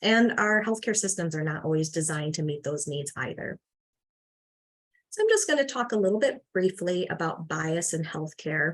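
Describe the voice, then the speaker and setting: A woman with a Midwestern US accent speaks in a fairly low pitch. Her intonation is lively and her pace moderate. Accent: US Midwest. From Michigan. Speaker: farmworker health advocate. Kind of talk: presentation.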